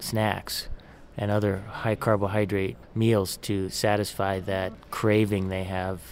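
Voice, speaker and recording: A man with a fairly low voice talks while music plays behind him. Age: 40s. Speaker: nutrition and exercise professor. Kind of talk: interview. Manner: repeats words, some hesitation.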